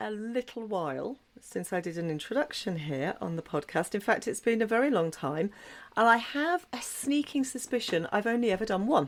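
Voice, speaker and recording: A woman with an English accent, fairly high pitch and very wide pitch swings, at a moderate pace, on a very clean recording with a silent background. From southwest England, Dorset. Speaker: podcast host. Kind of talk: solo podcast monologue.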